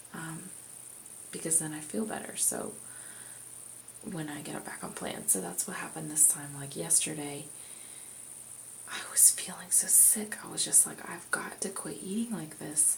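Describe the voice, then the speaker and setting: Whispering at a moderate pace with long, frequent pauses, a woman is heard amid noticeable background noise and audible room echo. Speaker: vlogger. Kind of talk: casual chat. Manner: quiet.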